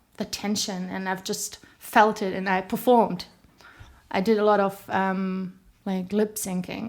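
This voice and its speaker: A woman's medium-pitched voice in a German accent, fairly slow and monotone with flat intonation. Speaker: singer. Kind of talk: interview. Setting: studio.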